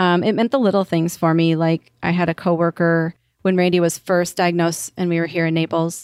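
A woman with an American accent speaks with a fairly low pitch, monotone, flat intonation and very even loudness. The recording is very clean, with a silent background and a dry, close sound with no echo. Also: fairly quick pace. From US Upper Midwest, Wisconsin. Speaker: caregiver. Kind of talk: interview.

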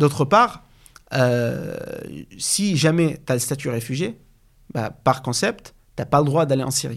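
Lively intonation and a fairly high pitch mark this man's speech. He talks at a very slow pace with long, frequent pauses. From Syria. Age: 20s. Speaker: business school student. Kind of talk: interview. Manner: halting.

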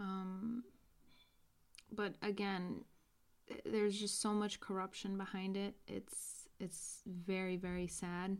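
Very slow, monotone speech in an American accent, with flat intonation and long, frequent pauses. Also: woman, medium pitch for a woman. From US, New York. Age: 20s. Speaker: podcast host. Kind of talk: casual interview chat.

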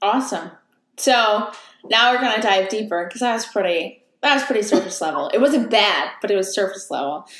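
With a normal speaking voice, a woman talks at a fairly quick pace and a fairly high pitch with ordinary pitch variation. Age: 20s. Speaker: podcast host. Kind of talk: casual interview chat.

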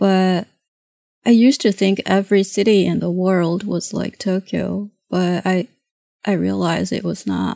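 A woman with a Japanese accent speaks very slowly in a dark, mellow tone at medium pitch. The recording is very clean and dry, close with no echo, over a silent background. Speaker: comic artist and painter. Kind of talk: casual interview conversation.

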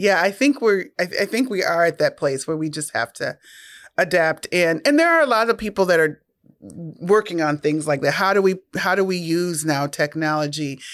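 A very clean recording with a silent background captures someone with an American accent speaking at a moderate pace. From Minnesota. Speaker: nonprofit executive and podcast host. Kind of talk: interview.

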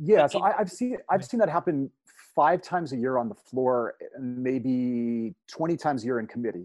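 A man talks at a moderate pace in an ordinary speaking voice. His intonation is lively. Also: medium pitch for a man. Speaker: former state legislator. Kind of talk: casual conversational podcast chat. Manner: joking, humorous, storytelling.

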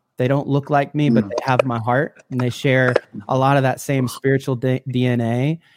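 A man in an American accent, medium in pitch, with monotone, flat intonation at a moderate pace. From US Midwest, Illinois. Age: 30s. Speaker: worship leader. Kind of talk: casual chat. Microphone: borrowed studio mic recording from home.

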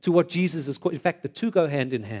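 An animated man's voice, dry and close with no echo. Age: 40s. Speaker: preacher. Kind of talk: sermon.

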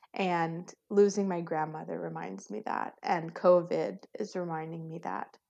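A woman with an American accent uses a normal speaking voice, fairly low in pitch with ordinary pitch variation. She talks at a fairly slow pace with hardly any pauses and big swings in loudness. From US, Virginia. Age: 30s. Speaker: nurse. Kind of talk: casual chat.

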